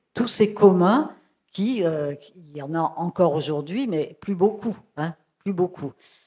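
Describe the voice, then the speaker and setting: A woman of medium pitch speaks in a dark, mellow tone with ordinary pitch variation on a very clean recording with a silent background. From France, Lozère. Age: 70s. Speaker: sociologist. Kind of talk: public talk. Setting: stage with audience. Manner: halting.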